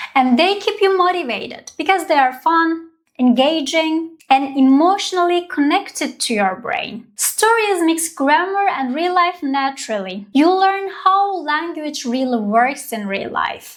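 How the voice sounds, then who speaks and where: A woman's extremely high-pitched voice with very wide pitch swings, at a fairly slow pace with hardly any pauses. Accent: Turkish. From Turkey. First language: Turkish. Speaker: language teacher. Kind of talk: tutorial.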